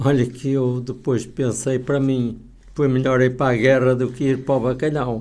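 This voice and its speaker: A man's medium-pitched, dark, mellow voice, flat and monotone at a moderate pace, with audible room echo. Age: 80s+. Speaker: author and poet. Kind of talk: casual radio interview.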